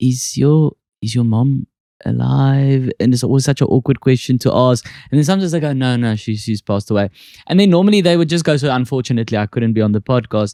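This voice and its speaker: A man with a South African accent at a very fast pace, medium pitch, a dark, mellow tone, ordinary pitch variation, and a dry, close sound with no echo. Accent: Afrikaans accent, thicker on stage. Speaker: podcast host and comedian. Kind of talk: casual chat.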